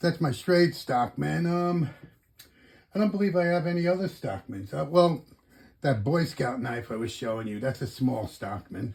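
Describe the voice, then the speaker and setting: A man speaks at a moderate pace with a fairly high pitch and very wide pitch swings. His tone is relaxed and somewhat breathy. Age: 60s. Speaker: knife collector YouTuber. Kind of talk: casual show-and-tell video. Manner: relaxed, rambling with fillers.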